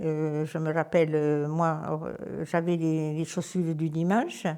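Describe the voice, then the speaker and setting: On a very clean recording with a silent background, a woman speaks with a dark, mellow tone at a fairly low pitch. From southern France, Aude (Puivert area). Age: 80s. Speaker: village elder. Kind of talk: interview testimony. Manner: halting.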